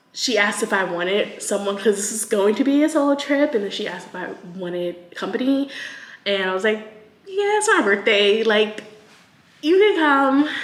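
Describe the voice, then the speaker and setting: Over noticeable background noise, a woman with a fairly high voice speaks at a moderate pace, her intonation lively and her loudness swinging widely. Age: 30s. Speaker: lifestyle vlogger. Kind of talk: casual vlog. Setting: lofted rental apartment. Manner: whispering. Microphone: echo in the room.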